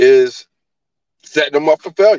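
This is an ordinary speaking voice: a man with an American accent talks at a moderate pace with ordinary pitch variation, in a dry, close sound with no echo. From New Jersey. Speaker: caller. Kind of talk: casual chat.

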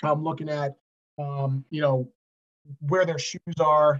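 A man with an American accent speaks at a moderate pace in a fairly high pitch, somewhat breathy. His intonation is monotone and flat, and the sound is dry and close with no echo. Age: 40s. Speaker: high school football head coach. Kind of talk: casual interview chat.

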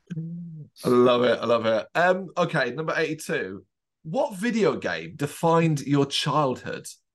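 A man talks at a fairly slow pace with lively intonation and a fairly high pitch. It is a plain, everyday voice. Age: 30s. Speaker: podcast host. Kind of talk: interview.

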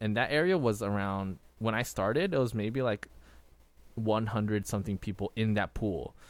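In a very clean recording with a silent background, a man with an ordinary speaking voice talks at a fairly quick pace, fairly low in pitch, with ordinary pitch variation. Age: 20s. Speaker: podcast co-host. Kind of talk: casual chat. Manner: frequent fillers and laughter.

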